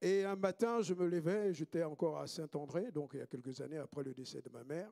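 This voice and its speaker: A man talks at a fairly quick pace in a fairly high pitch, with a dark, mellow tone and ordinary pitch variation. His loudness swings widely, and the sound is dry and close with no echo. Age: 60s. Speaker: pastor. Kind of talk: sermon.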